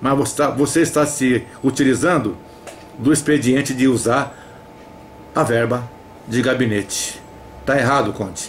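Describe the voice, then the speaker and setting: A man at a medium pitch and moderate pace, with fairly even intonation, very even loudness, long, frequent pauses and light background noise. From Brazil. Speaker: activist denouncing a councilman. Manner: loud, insistent, indignant; repeatedly addresses the councilman by name, pleading and accusing. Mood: indignant, accusatory. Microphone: headset.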